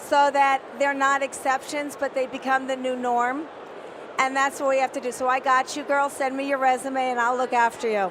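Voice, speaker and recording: Over noticeable background noise, a woman speaks at a moderate pace in a high-pitched, animated tone. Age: 60s. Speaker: CEO and panelist. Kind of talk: panel discussion. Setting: conference stage with audience.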